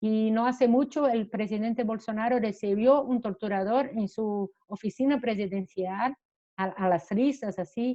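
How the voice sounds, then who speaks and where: The pace is fairly slow as a woman speaks. Her pitch is fairly high and varies in an ordinary way. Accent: Portuguese. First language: Portuguese (speaking Spanish). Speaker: human rights lawyer. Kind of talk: panel talk. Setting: video call. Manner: halting.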